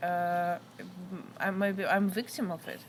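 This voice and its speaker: A woman speaks with a non-native accent. Her pitch sits in the middle range. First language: not English. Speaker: interviewee sharing life story. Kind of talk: interview. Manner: halting.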